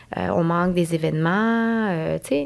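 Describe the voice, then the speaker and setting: Fairly slow speech from a woman, very cleanly recorded against a silent background. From Montreal anglophone community. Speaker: nurse. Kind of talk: casual interview.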